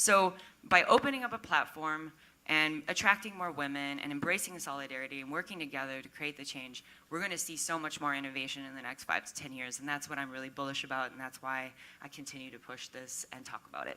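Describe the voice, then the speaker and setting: With an American accent, a woman talks at a very fast pace in a very deep, low pitch. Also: ordinary pitch variation, big swings in loudness. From Minnesota, US Midwest. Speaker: tech startup community organizer. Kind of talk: panel discussion. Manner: animated.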